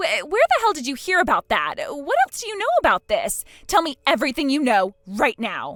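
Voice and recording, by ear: Here is a put-on character voice at a fairly quick pace, its tone fairly bright. The pitch swings very widely, and the sound is dry and close with no echo. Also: woman, high pitch for a woman.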